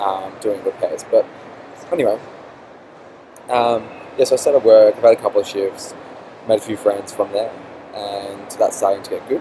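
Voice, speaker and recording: A man with an Australian accent speaks at a moderate pace, with long, frequent pauses and big swings in loudness. Noticeable background noise runs underneath. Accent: Australian accent, noticeable to others. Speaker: vlogger. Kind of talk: casual vlog. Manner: hesitant, many fillers.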